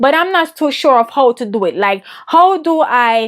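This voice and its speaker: Her intonation is lively and her pace moderate. The woman speaks with a Jamaican accent. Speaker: women's business and mindset coach. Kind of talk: interview answers.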